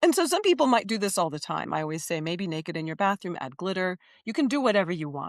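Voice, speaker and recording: A woman with an American accent at a very fast pace, on a very clean recording with a silent background. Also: medium pitch for a woman. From Miami, Florida. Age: 60s. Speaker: performance artist and ceremonialist. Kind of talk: interview. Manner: animated.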